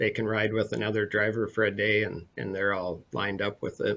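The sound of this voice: With a bright, sharp tone, a man speaks at a fairly low pitch, his intonation fairly even.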